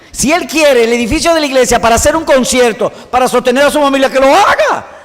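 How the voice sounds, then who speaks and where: There is noticeable background noise as a man talks at a fairly quick pace. His pitch is extremely high, with ordinary variation. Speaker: Bible teacher. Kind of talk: lecture. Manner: fast.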